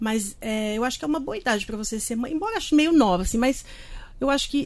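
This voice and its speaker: This woman's speech has lively intonation. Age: 50s. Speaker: journalist and author. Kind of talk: casual chat. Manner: fast.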